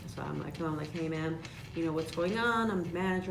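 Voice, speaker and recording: Pitched fairly low, a woman's voice carries audible room echo over noticeable background noise. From Chicago. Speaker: insurance agent. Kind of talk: casual chat. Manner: animated.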